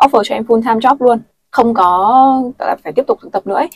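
Talking at a very fast pace with lively intonation, a woman comes through with a dry, close sound with no echo. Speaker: former student abroad. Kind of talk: casual chat.

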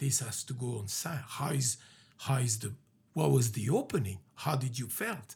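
A man at medium pitch, somewhat breathy, at a moderate pace with ordinary pitch variation. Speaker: podcast host. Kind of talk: casual chat. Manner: halting, many fillers.

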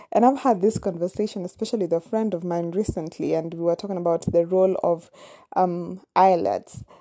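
A woman with a Kenyan accent, fairly low pitch, dark, mellow tone and fairly quick pace. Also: ordinary pitch variation. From Kenya, Nairobi. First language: Kamba. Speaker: podcaster. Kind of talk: personal storytelling monologue. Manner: casual, hesitant with fillers.

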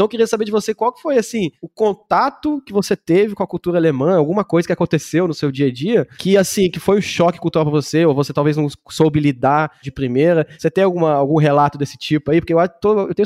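Here a man talks at a very fast pace in a high pitch. His intonation is lively. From Germany, Munich. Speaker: podcast host, German teacher. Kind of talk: casual interview.

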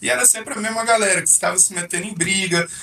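A man talks against noticeable background noise. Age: 30s. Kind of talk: casual interview.

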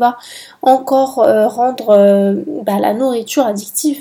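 A woman speaks at a very slow pace in a fairly high pitch. Her intonation stays fairly even. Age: 20s. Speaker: podcast host. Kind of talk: solo educational monologue.

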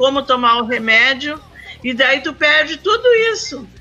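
A woman's high, raised and projected voice at a fairly slow pace, over noticeable background noise. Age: 60s. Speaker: community health council member. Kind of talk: casual chat. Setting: remote call from home.

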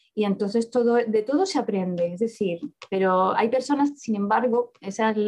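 An unremarkable speaking voice with ordinary pitch variation. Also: woman. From Spain, Córdoba (Andalusia), born in Barcelona. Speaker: author and economist. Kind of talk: interview.

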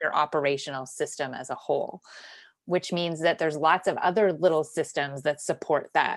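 This woman's pitch is very deep and low, and her intonation is fairly even. She talks at a moderate pace. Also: quiet background. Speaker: operations consultant. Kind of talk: casual interview chat.

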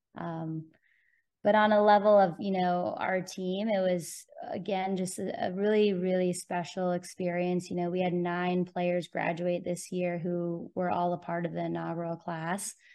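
A woman's fairly low voice with a Californian accent, fairly slow and monotone with flat intonation. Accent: Californian American. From Southern California (Bonita, near San Diego). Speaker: college ice hockey coach. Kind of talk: interview.

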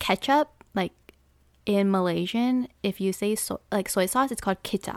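A woman with a plain, everyday voice talks at a fairly slow pace in a fairly high pitch with ordinary pitch variation, sounding dry and close with no echo on a very clean recording over a silent background. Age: 20s. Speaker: podcast co-host. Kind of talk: casual chat.

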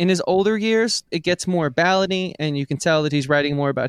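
A man talks in a New York accent. The recording is very clean, with a silent background. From New York, the Bronx. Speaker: podcast co-host, musician. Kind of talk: casual chat.

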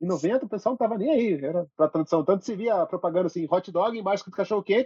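The pace is very fast. The intonation is lively. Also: man. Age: 30s. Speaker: podcast guest, film enthusiast. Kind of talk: casual chat.

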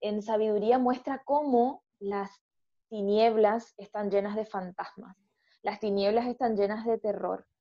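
A woman speaks with a fairly high pitch at a very slow pace. Her intonation stays fairly even. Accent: Argentine. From Argentina. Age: 30s. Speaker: educational psychologist and parish ministry leader. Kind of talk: faith discussion podcast.

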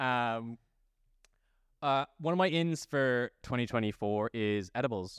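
A man with a plain, everyday voice speaks at a fairly slow pace, medium in pitch, with ordinary pitch variation and very even loudness. The recording is very clean with a silent background, and the sound is dry and close, with no echo. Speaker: podcast host. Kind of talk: casual banter comedic chat.

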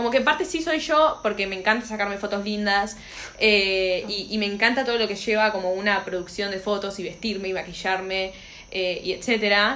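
In a Rioplatense accent, a woman talks at a fairly quick pace and medium pitch with ordinary pitch variation, and audible room echo surrounds her voice. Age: 20s. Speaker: podcast co-host. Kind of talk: casual chat.

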